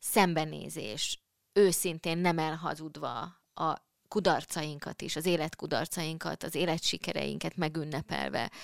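Very deep, low female voice with vocal fry, at a fairly slow pace, in a dry, close sound with no echo. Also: ordinary pitch variation, very clean recording, silent background. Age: middle-aged. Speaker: podcast host. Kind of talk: casual chat. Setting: studio.

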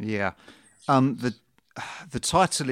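A plain, everyday voice from a man at medium pitch for a man, moderate pace and ordinary pitch variation, dry and close with no echo in a very clean recording with a silent background. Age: 30s. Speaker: podcast host and musician. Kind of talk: interview.

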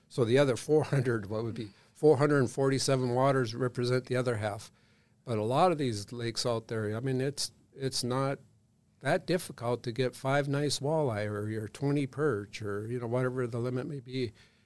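The very clean recording, with a silent background, features a man at a medium pitch using a plain, everyday voice, speaking at a moderate pace with fairly even intonation. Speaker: state fisheries chief. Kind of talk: casual interview.

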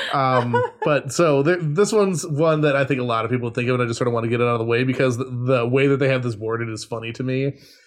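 A man talks at a very fast pace with hardly any pauses. Noticeable background noise sits behind him. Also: medium pitch for a man, ordinary pitch variation. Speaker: podcast co-host. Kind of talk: casual chat.

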